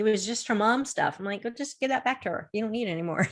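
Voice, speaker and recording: This is a woman with an ordinary speaking voice at medium pitch and ordinary pitch variation. The recording is very clean, with a silent background. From Florida. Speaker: confidence coach. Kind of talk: interview on a video show.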